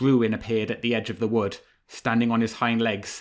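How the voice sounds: Simply a natural reading voice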